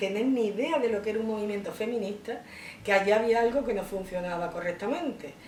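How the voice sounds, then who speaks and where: A woman's fairly high voice with ordinary pitch variation, audible room echo and noticeable background noise. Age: 60s. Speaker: feminist activist. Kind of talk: interview testimony.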